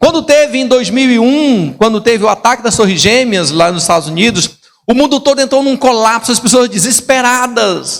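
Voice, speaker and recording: A man talks at a moderate pace with hardly any pauses. His pitch is extremely high and his intonation lively. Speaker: pastor. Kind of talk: sermon. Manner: soft-spoken.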